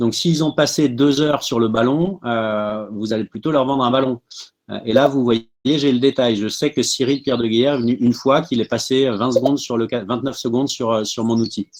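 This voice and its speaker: Fairly even intonation runs through this man's medium-pitched speech. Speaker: startup tools speaker. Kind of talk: webinar presentation. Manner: fast.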